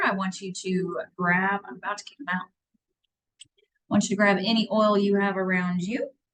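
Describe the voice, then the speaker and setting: A loud woman's voice at medium pitch, moderate in pace, with fairly even intonation. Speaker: wellness class teacher. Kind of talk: online class.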